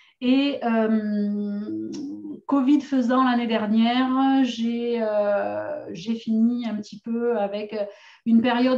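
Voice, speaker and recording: A woman's fairly high voice with a dark, mellow tone, fairly even intonation and a southern French accent. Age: 40s. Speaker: essential oils seller and course presenter. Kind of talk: online course introduction. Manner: hesitant, many fillers.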